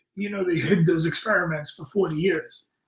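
Speaking with a New York accent, a man has a high pitch and ordinary pitch variation. His pace is fairly quick. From Brooklyn, New York. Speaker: fitness coach and history graduate. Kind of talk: casual live-stream chat. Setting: live video stream.

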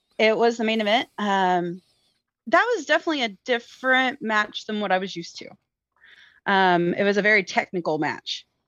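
A woman with an ordinary speaking voice, fairly high in pitch, at a moderate pace with lively intonation and big swings in loudness, against a quiet background. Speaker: guest wrestling fan. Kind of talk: casual chat about pro wrestling. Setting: video call joining remotely.

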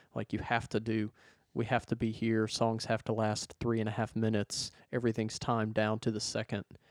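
With a Southern US accent, a man talks in a monotone, flat intonation. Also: medium pitch for a man, fairly quick pace, dry, close sound with no echo, very clean recording, silent background. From US South (Arkansas). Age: 30s. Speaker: church sound engineer. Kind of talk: casual chat. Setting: studio.

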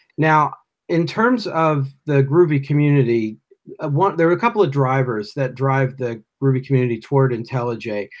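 In a very clean recording with a silent background, a man with a plain, everyday voice and an American accent speaks at a moderate pace, his fairly high pitch showing ordinary variation. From US Northeast. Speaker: podcast host. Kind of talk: casual interview.

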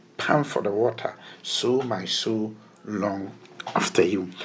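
Noticeable background noise is present. The talking goes at a fairly slow pace. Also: man. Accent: Ghanaian. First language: Twi. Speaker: pastor. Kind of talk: sermon. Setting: radio broadcast.

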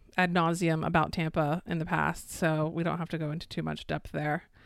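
Over a silent background in a very clean recording, a woman speaks in a fairly low, flat monotone with vocal fry. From Florida. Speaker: podcast co-host. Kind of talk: casual chat.

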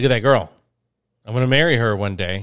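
His voice has an American accent. The speaker, a man, has a medium pitch. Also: very clean recording, silent background. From small town near Birmingham, Alabama. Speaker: podcast co-host and touring musician. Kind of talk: casual chat. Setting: home studio. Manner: halting, repeats words.

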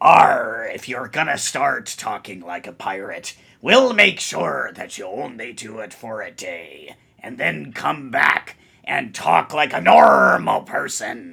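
A man speaks in a raspy, put-on character voice. He talks at a fairly slow pace. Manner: mock-pirate, playful.

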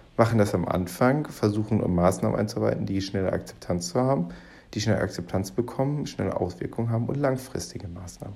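A man's fairly low voice at a very fast clip, with lively intonation. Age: 20s. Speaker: podcast host. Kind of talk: solo commentary monologue. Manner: halting, many fillers.

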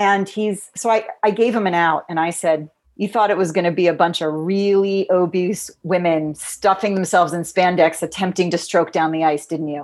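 In a very clean recording with a silent background, a woman with a plain, everyday voice speaks at a moderate pace with hardly any pauses, fairly low pitch and fairly even intonation. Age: 40s. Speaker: marketing strategist and figure skater. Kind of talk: interview conversation.

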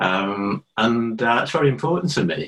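A man speaks with a Liverpool accent and vocal fry. His intonation is lively. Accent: Liverpudlian. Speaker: adult education tutor. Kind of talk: casual interview chat.

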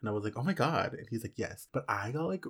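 Somewhat breathy, a man speaks at medium pitch with lively intonation. The recording is very clean with a silent background. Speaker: podcast co-host. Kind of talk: casual chat. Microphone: new expensive microphone.

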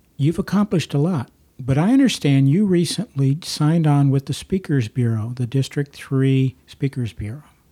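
A man with an American accent speaks in a dark, mellow, somewhat breathy voice with hardly any pauses. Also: fairly high pitch for a man, ordinary pitch variation, moderate pace, dry, close sound with no echo. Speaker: podcast host. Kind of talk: interview. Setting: in-person recording at an office.

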